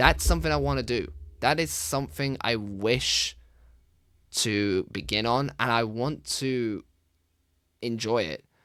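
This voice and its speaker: With ordinary pitch variation, the voice comes through on a very clean recording against a silent background. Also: man. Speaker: gaming YouTuber and streamer. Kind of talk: casual vlog monologue. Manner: soft-spoken.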